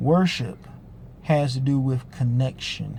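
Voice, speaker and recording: His voice has a dark, mellow tone and is somewhat breathy. This man speaks at a medium pitch. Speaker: online ministry teacher. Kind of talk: spiritual teaching video. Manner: fast; casual with filler uhs.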